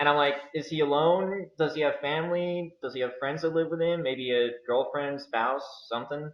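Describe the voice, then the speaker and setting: With an American accent, a man talks in an ordinary speaking voice at a fairly high pitch and moderate pace, keeping his intonation fairly even with hardly any pauses. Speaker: YouTuber interviewer. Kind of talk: interview. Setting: video call.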